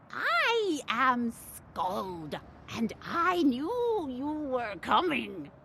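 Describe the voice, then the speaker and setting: A woman speaks very slowly in a put-on character voice, pitched high. Background noise is clearly audible. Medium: solo performance. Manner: solemn, oracular.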